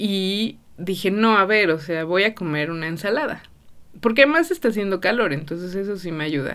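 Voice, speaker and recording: A woman talks at a moderate pace and medium pitch. Her intonation is lively. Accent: Mexican. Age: 30s. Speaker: podcast host. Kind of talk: casual monologue. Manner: many filler words.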